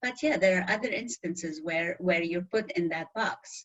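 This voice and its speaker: Speaking fairly slowly, a woman with a strong non-native accent uses a medium pitch. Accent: very thick foreign. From Middle East. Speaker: interview guest. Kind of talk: interview.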